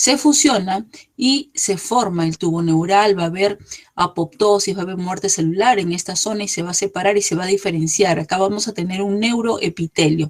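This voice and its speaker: This woman has a plain, everyday voice. Her pitch is medium, with ordinary pitch variation. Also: moderate pace. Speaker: embryology lecturer. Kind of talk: lecture.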